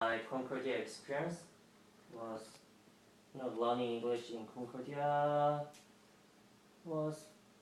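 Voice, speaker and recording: Someone with a Korean accent speaks amid audible room echo and noticeable background noise. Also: man. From South Korea. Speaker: international ESL student. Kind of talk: interview. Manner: halting.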